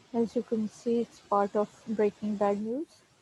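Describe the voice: A woman with a medium pitch and little pitch movement speaks at a fairly slow pace, her dark, mellow tone carrying a husky, rough edge in a dry, close sound with no echo.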